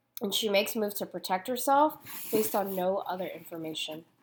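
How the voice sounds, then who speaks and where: A woman with an American accent, medium-pitched, with very wide swings in pitch. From United States. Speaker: youth ministry speaker. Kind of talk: prepared talk.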